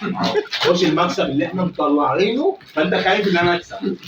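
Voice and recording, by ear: With audible room echo, a man speaks at a very fast pace in a high pitch and a fairly bright tone. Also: lively intonation.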